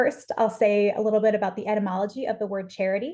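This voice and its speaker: A woman with an American accent, fairly high in pitch, with a dark, mellow tone. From US South. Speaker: philosopher. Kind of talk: lecture. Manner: fast.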